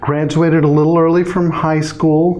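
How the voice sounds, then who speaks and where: A man is speaking. Background noise is noticeable. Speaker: former newscaster, interview guest. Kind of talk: casual, conversational.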